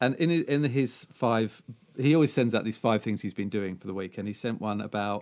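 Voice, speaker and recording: The man has a British accent and a medium pitch. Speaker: podcast host. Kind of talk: casual chat.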